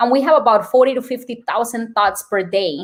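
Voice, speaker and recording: A woman with a Colombian accent speaks at a fairly quick pace in a fairly high pitch. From Colombia, Bogota. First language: Spanish. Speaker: nurse and wellness speaker. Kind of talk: podcast interview.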